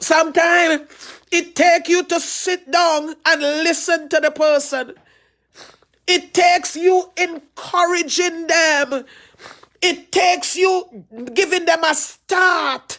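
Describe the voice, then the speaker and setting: A woman with a Trinidadian accent, extremely high-pitched, at a very slow pace with fairly even intonation. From Trinidad and Tobago. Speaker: pastor. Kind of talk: sermon.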